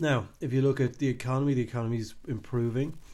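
Talking at a very fast pace with an Irish accent, a man of medium pitch keeps a dark, mellow tone and fairly even intonation. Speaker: podcast host. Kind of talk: solo commentary monologue. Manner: casual, hesitant with fillers.

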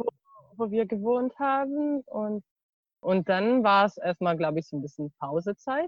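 The pitch of this woman's voice swings very widely. She keeps a moderate pace. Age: 20s. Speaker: university student and former volunteer. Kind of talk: interview. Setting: video call, outdoors in garden. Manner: hesitant, many fillers.

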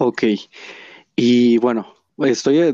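A man's medium-pitched voice, very slow, with fairly even intonation. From Mexico, Hidalgo. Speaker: podcast host. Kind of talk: interview conversation. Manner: halting.

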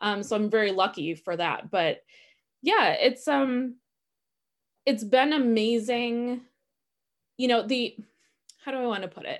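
Over a quiet background, a woman with a Wisconsin accent speaks at a fairly high pitch and a fairly slow pace. She leaves long, frequent pauses. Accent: Upper Midwest (Wisconsin). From Wisconsin, Milwaukee. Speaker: stage manager and social worker. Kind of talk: casual interview. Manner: frequent laughter and filler words.

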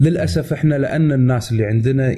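This man's voice has a dark, mellow tone. It is somewhat breathy. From Kuwait. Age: 30s. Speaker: tech YouTuber. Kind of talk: casual chat.

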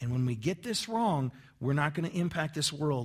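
In a very clean recording with a silent background, a man with an American accent has an unremarkable speaking voice. He keeps a moderate pace and lively intonation. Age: 40s. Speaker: pastor. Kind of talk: sermon. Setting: church. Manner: conversational.

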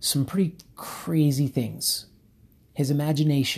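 A dark, mellow tone, somewhat breathy, at a fairly slow pace. The recording is very clean, with a silent background. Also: man. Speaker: cycling coach. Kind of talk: casual solo podcast. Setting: home office, rain outside. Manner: laid-back.

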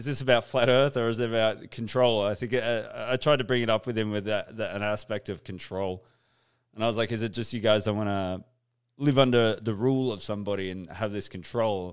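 A man talks at a fairly quick pace in an Australian accent. The recording is very clean, with a silent background. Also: medium pitch for a man, fairly even intonation. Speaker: podcast host. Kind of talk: casual interview chat. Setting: live stream.

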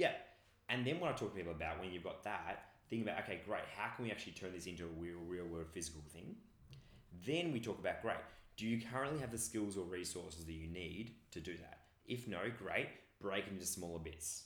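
A man with an Australian accent and a very deep, low voice, talking at a very fast pace amid audible room echo. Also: ordinary pitch variation. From regional Victoria, Australia. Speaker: personal development coach. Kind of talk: interview conversation.

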